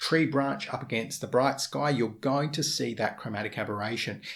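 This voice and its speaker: A man's medium-pitched voice with vocal fry and lively intonation. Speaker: photography lens reviewer. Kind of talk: casual talk to camera.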